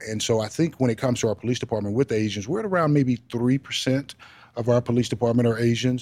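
Speaking very fast with an American accent, a man has a medium pitch and ordinary pitch variation, and the sound is dry and close with no echo. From Texas. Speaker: police chief. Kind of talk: interview. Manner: halting, many fillers.

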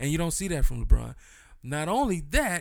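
In a very clean recording with a silent background, a man talks in a high voice with lively intonation. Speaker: podcast co-host. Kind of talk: casual chat.

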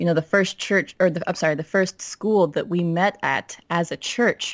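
A woman talks in a normal speaking voice with an American accent, her pitch fairly low with ordinary variation. She keeps a moderate pace, and the sound is dry and close with no echo. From Minnesota. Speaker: academic doctor. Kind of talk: casual chat.

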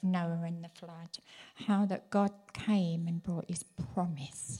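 Very slowly, a woman speaks in a dark, mellow tone that is somewhat breathy. Her pitch is medium and her intonation fairly even. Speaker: church minister's wife, prophetic speaker. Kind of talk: prophetic word. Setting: church.

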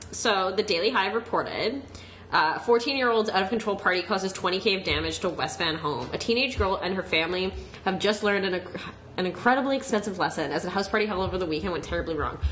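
A woman's medium-pitched voice at a very fast clip, with lively intonation over noticeable background noise. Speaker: podcast co-host. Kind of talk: casual chat.

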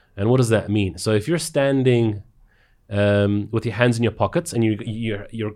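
On a very clean recording with a silent background, a man with a South African accent talks at a moderate pace, medium in pitch with ordinary pitch variation. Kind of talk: casual conversation.

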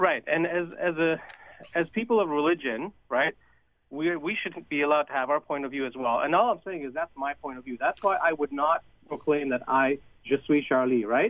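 Moving at a fairly quick pace, a man's voice shows ordinary pitch variation. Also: fairly high pitch for a man. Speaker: caller. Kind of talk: call-in conversation. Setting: phone call. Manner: halting.

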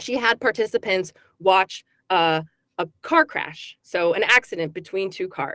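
A woman uses an ordinary speaking voice at medium pitch. She keeps a moderate pace with ordinary pitch variation. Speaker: psychology professor. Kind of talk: radio interview.

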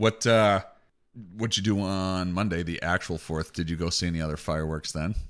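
A man's very deep, low voice, fairly even in intonation and fairly quick in pace, on a very clean recording with a silent background. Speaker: podcast host. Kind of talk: casual chat.

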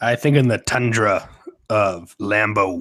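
A booming put-on character voice from a man at a fairly slow pace. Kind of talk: sportscaster. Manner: booming, exaggerated.

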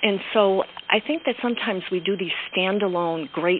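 Lively intonation from a woman with an American accent, over noticeable background noise. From Pennsylvania, Pocono Mountains area. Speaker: education entrepreneur. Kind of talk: interview.

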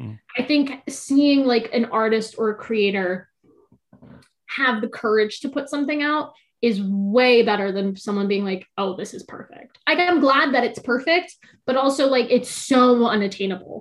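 A woman's high voice with a Californian accent, ordinary pitch variation, big swings in loudness, and a moderate pace. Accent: Californian American. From US West Coast (Orange County, California). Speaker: poet and writer. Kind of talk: casual interview chat.

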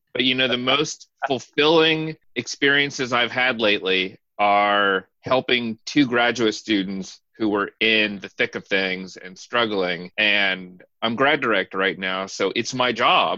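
Against a quiet background with a dry, close sound and no echo, a man with a bright, sharp tone and medium pitch talks at a fairly slow pace with hardly any pauses. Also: ordinary pitch variation. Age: 40s. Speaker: podcast co-host, anthropology professor. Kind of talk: casual chat.

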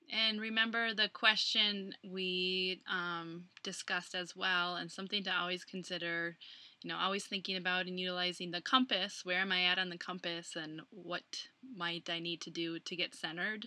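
A woman with an American accent talks at a moderate pace and a medium pitch. Her tone is bright and sharp, and her intonation stays fairly even. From Minnesota, US Midwest. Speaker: podcast co-host, coach. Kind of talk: casual chat.

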